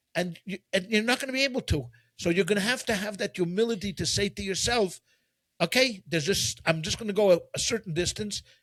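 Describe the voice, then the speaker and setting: Very fast speech in a Quebec accent with ordinary pitch variation, dry and close with no echo. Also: man, high pitch for a man. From Quebec, Canada. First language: French. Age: 50s. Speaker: rabbi. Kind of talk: casual discussion. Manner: halting, many repetitions.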